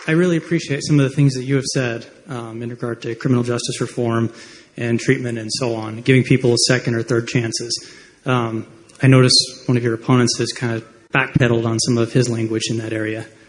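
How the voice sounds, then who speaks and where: This man talks at a very fast pace with an American accent. His somewhat breathy voice sits at a medium pitch with fairly even intonation. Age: 30s. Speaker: audience member at town hall. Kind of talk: testimony. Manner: halting.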